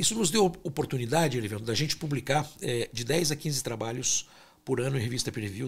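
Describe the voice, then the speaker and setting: At a fairly quick pace, a man talks with lively intonation at a medium pitch, sounding somewhat breathy. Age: 60s. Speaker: fertility doctor and scientist. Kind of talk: interview.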